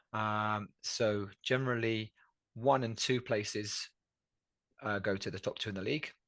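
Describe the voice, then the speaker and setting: A man's fairly low voice, fairly even in intonation, at a fairly slow pace with long, frequent pauses over a quiet background. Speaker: podcast co-host. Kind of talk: casual podcast talk.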